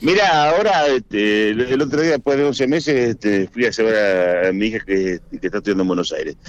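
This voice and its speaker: A man with a Rioplatense accent talks at a fairly quick pace with hardly any pauses, his pitch swinging very widely while his loudness stays very even. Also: medium pitch for a man. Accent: Argentine Spanish (rioplatense). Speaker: farmer and former politician. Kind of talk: radio interview. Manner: halting.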